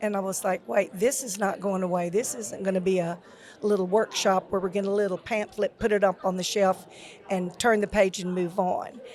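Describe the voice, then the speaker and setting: A woman speaks in a Louisiana accent at medium pitch. Her pace is moderate and her intonation fairly even. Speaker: retired school technology officer. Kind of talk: podcast interview.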